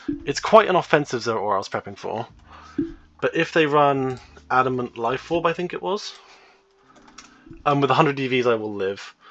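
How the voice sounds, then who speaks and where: With lively intonation and a medium pitch, a man talks at a fairly quick pace broken by long, frequent pauses. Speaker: gaming content creator. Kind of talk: gameplay commentary. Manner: many filler words; fast.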